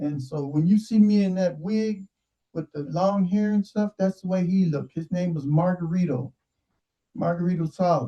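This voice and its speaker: Heard dry and close with no echo, a man's high-pitched voice has a dark, mellow tone and ordinary pitch variation. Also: moderate pace. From Southern California (San Diego, Watts). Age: 60s. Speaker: online show host. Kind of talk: casual monologue. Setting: video call. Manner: animated.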